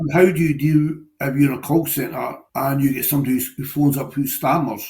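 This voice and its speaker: A man talks at a fairly quick pace with a Scottish accent, his voice somewhat breathy. Audible room echo surrounds him. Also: fairly high pitch for a man. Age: 50s. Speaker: retired trade unionist. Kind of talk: interview. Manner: halting.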